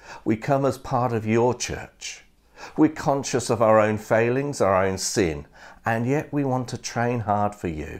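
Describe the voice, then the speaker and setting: A man at a fairly slow pace, ordinary pitch variation, quiet background. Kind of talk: sermon. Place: home room. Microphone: lapel.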